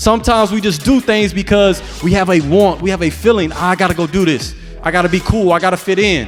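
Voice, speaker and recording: Music plays behind a man with a high voice who speaks very fast in an energetic, playful tone. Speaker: motivational speaker. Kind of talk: motivational speech to a young audience. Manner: energetic, emphatic, playful asides.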